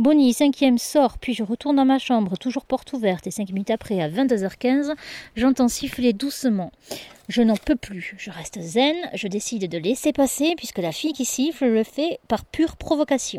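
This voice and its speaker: With a high pitch and dark, mellow tone, a woman speaks in lively intonation. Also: moderate pace, dry, close sound with no echo. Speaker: boarding school supervisor. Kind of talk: diary reading.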